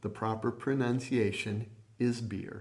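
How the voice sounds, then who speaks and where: Medium-pitched male voice, monotone and flat, at a moderate pace, with audible room echo. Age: 60s. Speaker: preacher. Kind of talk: sermon.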